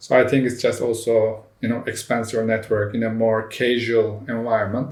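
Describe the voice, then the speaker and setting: Heard with audible room echo, a man in a Turkish accent speaks at a moderate pace and medium pitch, his intonation monotone and flat. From Turkey. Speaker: startup CEO. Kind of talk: interview. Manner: emphatic.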